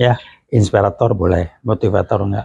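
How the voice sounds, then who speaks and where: A man speaks in a fairly low, dark and mellow voice that is somewhat breathy, at a moderate pace with fairly even intonation. The recording is dry with no echo. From Indonesia. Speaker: retired lecturer and management practitioner; retired lecturer. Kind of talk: direct-to-camera clarification statement. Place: home room.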